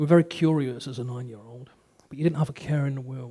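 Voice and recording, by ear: A man talks at a fast pace with a medium pitch. His tone is dark and mellow, with ordinary pitch variation.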